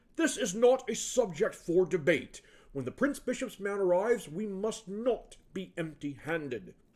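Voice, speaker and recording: A man's gruff, put-on character voice, high-pitched with very wide pitch swings, at a moderate pace. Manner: firm, commanding.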